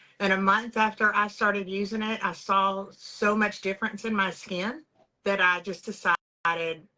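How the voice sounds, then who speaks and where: The tone is bright and sharp, with fairly even intonation. It comes in a Texan accent. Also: woman. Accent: Texas Southern US. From East Texas. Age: 40s. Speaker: beauty products sales director. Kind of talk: interview, personal testimony.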